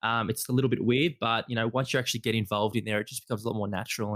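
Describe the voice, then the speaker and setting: A man with an Australian accent talks at a very fast pace in a medium pitch, his intonation fairly even and the sound dry and close with no echo. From Australia, Melbourne. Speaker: podcast host. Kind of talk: interview.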